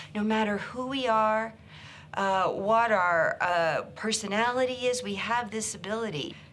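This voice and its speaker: Amid audible room echo, a woman with an American accent speaks at a moderate pace in a bright, sharp tone with ordinary pitch variation. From rural Kansas, US Midwest. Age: 60s. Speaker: psychotherapist and author. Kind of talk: personal story interview. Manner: hesitant, with fillers and restarts.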